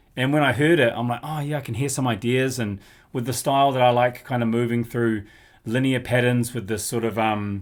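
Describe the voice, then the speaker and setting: In a New Zealand accent, the speaker uses fairly even intonation on a very clean recording with a silent background. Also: man, medium pitch for a man, fairly quick pace. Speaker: drummer and music youtuber. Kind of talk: casual vlog talk. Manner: casual, hesitant with fillers.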